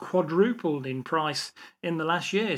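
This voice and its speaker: In a very clean recording with a silent background, a man with an English Midlands accent speaks at a fairly high pitch. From England, English Midlands. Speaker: automotive industry veteran and educator. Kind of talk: interview conversation.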